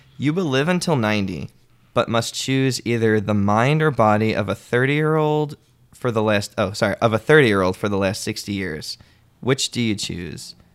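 A man with an American accent speaks at a moderate pace in an ordinary speaking voice, his medium pitch carried by lively intonation. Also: very clean recording, silent background. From New Jersey, Middletown (Monmouth County). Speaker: sketch comedy writer and copy editor. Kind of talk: casual conversation.

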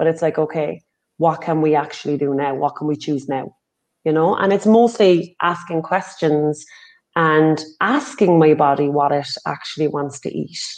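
With an Irish accent, a woman with a very deep, low pitch speaks at a moderate pace and ordinary pitch variation. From Ireland. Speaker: healing and recovery facilitator. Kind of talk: casual interview chat.

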